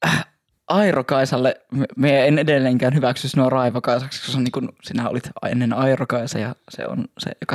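At a moderate pace, a man speaks with a northern Finnish accent and medium pitch. His intonation is fairly even, and the sound is dry and close with no echo. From northern Finland, Oulu region. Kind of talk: casual chat. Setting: Instagram live stream on camera.

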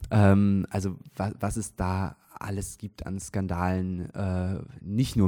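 On a very clean recording with a silent background, a man speaks in a very deep, low voice with a dark, mellow tone and fairly even intonation. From Switzerland, near Zurich. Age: 20s. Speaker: stage actor. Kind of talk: casual interview. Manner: hesitant, many fillers.

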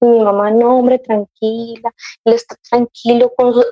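With music in the background and a dry, close sound with no echo, a woman speaks at a moderate pace in a fairly high pitch with monotone, flat intonation. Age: 30s. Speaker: mother sharing her experience. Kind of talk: casual interview conversation.

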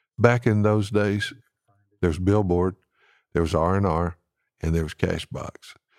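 A man with a Southern US accent speaks at a moderate pace in a dark, mellow tone. The sound is dry and close with no echo, a very clean recording over a silent background. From Alabama (Huntsville). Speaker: songwriter. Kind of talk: interview. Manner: halting.

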